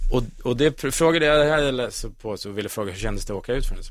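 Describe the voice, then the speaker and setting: This man has an ordinary speaking voice, talking at a fairly quick pace with ordinary pitch variation. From central Sweden, Västmanland (Kolsva near Köping). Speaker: radio host. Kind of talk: casual chat.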